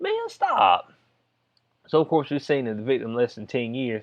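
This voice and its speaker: A Southern US accent at a moderate pace. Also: man. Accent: Southern US, country. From US South. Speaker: YouTube commentator. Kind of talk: casual commentary on news. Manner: animated.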